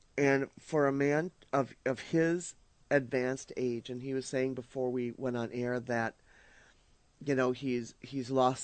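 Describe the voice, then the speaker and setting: In a Minnesotan accent, a man with a medium pitch speaks fairly slowly in a monotone, flat intonation. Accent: Minnesota. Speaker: radio host. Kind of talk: casual chat. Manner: halting, many fillers and repeats.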